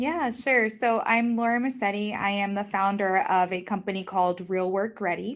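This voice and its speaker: With an American accent, a woman talks at a moderate pace and medium pitch, with hardly any pauses and ordinary pitch variation. The background is quiet. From New York. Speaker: founder of a career-readiness training company. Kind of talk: podcast interview.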